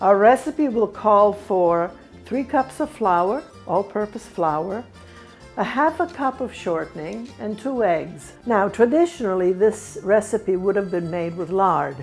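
Faint music plays in the background. Over it, a woman talks at a fairly slow pace. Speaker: home cook host. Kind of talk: cooking tutorial. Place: kitchen.

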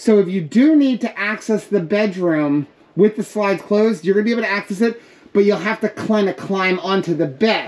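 Ordinary pitch variation runs through speech delivered at a moderate speed. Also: woman. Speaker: RV reviewer. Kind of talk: walkthrough commentary. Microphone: phone near.

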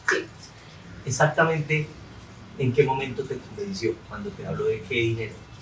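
A man's fairly high voice with lively intonation, at a moderate pace with long, frequent pauses. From Colombia, Santander. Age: 30s. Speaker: comedian and interviewer. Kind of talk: casual interview. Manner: animated.

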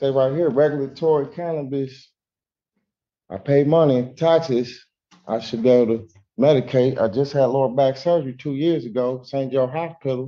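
With a dark, mellow tone, a man speaks at a moderate pace. His pitch sits in the medium range, and his intonation is fairly even.

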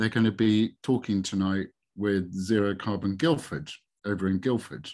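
An ordinary speaking voice from a man with a fairly low pitch, moderate pace and fairly even intonation over a quiet background. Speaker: webinar presenter. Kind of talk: webinar presentation. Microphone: video call.

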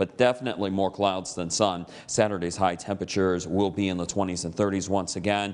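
A man with an American accent talks at a fairly low pitch. His pace is moderate and his intonation fairly even. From US Upper Midwest, Michigan's Upper Peninsula. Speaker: TV weather forecaster. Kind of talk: local TV weather report, walking viewers through radar maps and temperatures. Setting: TV studio. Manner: relaxed, conversational delivery with casual reassurances; occasional stumbles and repeated words. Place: studio.

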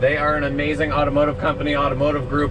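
Noticeable background noise fills the clip. Over it, a man talks. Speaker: truck driver vlogger. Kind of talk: casual vlog chat. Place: car. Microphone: camera far.

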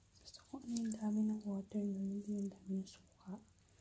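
A woman is whispering. Her voice comes out somewhat breathy. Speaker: mom vlogger. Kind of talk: tutorial. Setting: home at night. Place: kitchen. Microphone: phone near.

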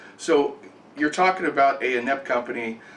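With audible room echo and light background noise, a man speaks in an American accent. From California. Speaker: gaming channel host. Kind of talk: angry rant about the power company. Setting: home, filming in the kitchen. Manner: angry, fast, ranting. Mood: angry, frustrated, tired. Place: kitchen. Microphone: webcam.

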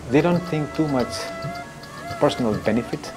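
A man talks at a moderate pace. Clear music is audible behind him. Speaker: local tour guide. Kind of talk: interview answer. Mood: warm, appreciative.

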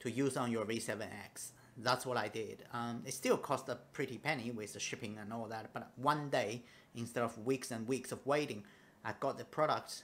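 The man talks at a moderate pace with fairly even intonation. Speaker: audio gear vlogger. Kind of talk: casual vlog chat. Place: home room. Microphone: phone near.

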